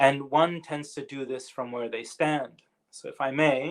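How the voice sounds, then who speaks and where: With a North American accent, a man speaks at a moderate pace in a plain, everyday voice that sits at a fairly high pitch. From Canada. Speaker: professor. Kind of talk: lecture.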